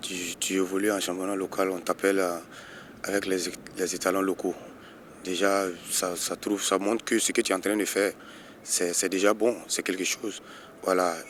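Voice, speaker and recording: A man with a very deep, low pitch talks at a moderate pace in a monotone, flat intonation, leaving long, frequent pauses. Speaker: footballer, team captain. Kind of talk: interview. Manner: halting, many repetitions.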